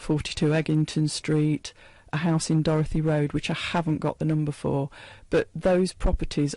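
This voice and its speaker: A woman's very deep, low voice in an East Midlands accent, dark and mellow in tone, monotone and flat, at a moderate pace. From England, Leicester. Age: 60s. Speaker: author talking about her late father's memoir. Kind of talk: radio interview.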